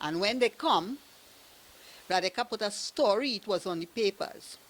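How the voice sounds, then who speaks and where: A woman with a Trinidadian accent talks at a moderate pace and medium pitch, with lively intonation. The sound is dry and close with no echo, in a very clean recording with a silent background. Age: 70s. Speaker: evicted tenant. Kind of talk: testimony. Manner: halting.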